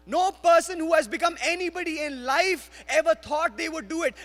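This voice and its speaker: A man's animated, moderately paced speech in an Indian accent, with music in the background. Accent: Indian accent, noticeable. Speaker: guest preacher. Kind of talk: sermon. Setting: church. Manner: animated, exhortative.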